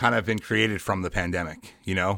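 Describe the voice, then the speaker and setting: This man has an ordinary speaking voice and an American accent, with fairly even intonation at a moderate pace. The recording is very clean, with a silent background. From New York, Long Island. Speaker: podcast host. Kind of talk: casual chat.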